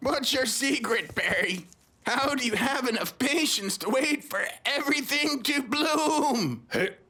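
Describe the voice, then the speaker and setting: A man uses a cartoonish character voice at an extremely high pitch, talking at a fairly slow pace. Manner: brooding, philosophical.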